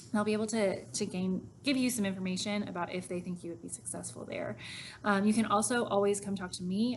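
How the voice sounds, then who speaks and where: The woman's medium-pitched voice is somewhat breathy and shows ordinary pitch variation. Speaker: high school math teacher. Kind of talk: recorded informational talk to students.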